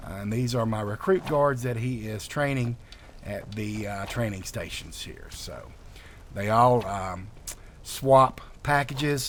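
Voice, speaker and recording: A man's relaxed, medium-pitched voice in a Southern US accent, with ordinary pitch variation and a fairly slow pace. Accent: southern drawl. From North Carolina, US South. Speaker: video game modder. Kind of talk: gameplay walkthrough commentary. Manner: relaxed, many filler words.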